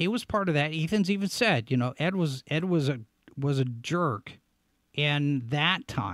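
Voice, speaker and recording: Lively intonation runs through this fairly slow delivery. The sound is dry with no echo, over a quiet background. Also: man. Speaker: show host and website editor; show host. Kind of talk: live-stream commentary show. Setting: studio live broadcast. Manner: animated, on-air energy. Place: home room. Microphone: studio mic.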